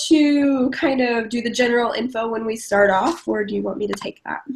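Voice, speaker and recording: This woman speaks with an American accent at a fairly quick pace. Her pitch varies in an ordinary way. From Ohio. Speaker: writer and podcast co-host. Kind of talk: casual chat.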